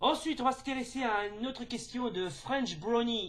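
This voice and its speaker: A man is speaking. His pace is moderate. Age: 30s. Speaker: YouTuber. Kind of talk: casual chat. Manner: halting.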